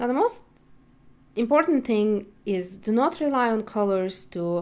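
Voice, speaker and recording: Speaking at a fairly slow pace, a woman uses lively intonation at a medium pitch. She has an ordinary speaking voice. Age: 20s. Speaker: accessibility instructor. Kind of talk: tutorial.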